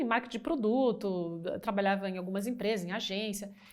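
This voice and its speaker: A woman talking at a fairly quick pace. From Brazil, Brasília. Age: 50s. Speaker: business executive. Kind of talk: interview. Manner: halting.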